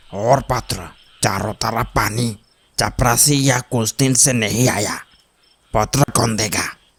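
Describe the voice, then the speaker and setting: A man puts on a cartoonish character voice at medium pitch. He goes at a fairly slow pace with fairly even intonation. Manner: calm, soft-spoken.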